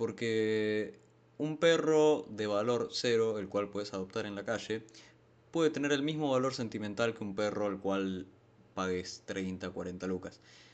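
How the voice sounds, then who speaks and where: In a Rioplatense accent, a man speaks at a fairly slow pace. His fairly low pitch shows ordinary pitch variation. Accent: Argentine Rioplatense Spanish. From Argentina, San Martín, Buenos Aires. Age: 20s. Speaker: podcast host. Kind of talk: casual monologue. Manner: hesitant, many fillers.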